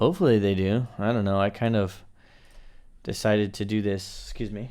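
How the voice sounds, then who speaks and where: In an American accent, a man with an unremarkable speaking voice talks at a moderate pace, fairly low in pitch and fairly even in intonation. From USA. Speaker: YouTuber living in Japan. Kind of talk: live stream chat. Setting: live stream at home. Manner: casual, filler-heavy.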